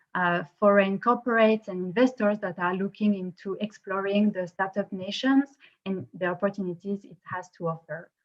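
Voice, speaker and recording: At a moderate pace, a woman with a French accent speaks in a medium pitch and fairly even intonation. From France. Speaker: co-founder of a tech innovation company, event organizer. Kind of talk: event opening speech. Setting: online video conference. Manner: hesitant, many fillers.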